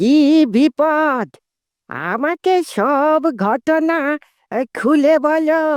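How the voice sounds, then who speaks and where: A high, cartoonish character voice at a very slow pace, in a very clean recording with a silent background. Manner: gruff, commanding.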